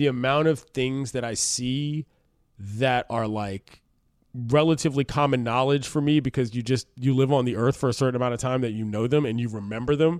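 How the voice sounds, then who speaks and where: A man speaks at a moderate pace in a medium pitch with ordinary pitch variation, an ordinary speaking voice. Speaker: sports radio host. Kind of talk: casual chat.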